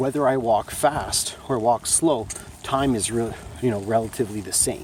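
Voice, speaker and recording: A man talks at a moderate pace with ordinary pitch variation amid noticeable background noise. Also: medium pitch for a man. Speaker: vlogger and small business owner. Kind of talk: casual vlog monologue. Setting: outdoors walking on a track in the rain. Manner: halting, many fillers.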